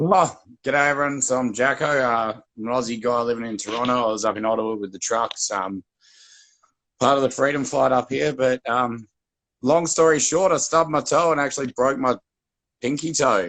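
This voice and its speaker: At a fairly quick pace, a man talks with an Australian accent. His pitch is medium, with ordinary variation. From Western Australia, Perth. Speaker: guest activist. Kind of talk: casual chat.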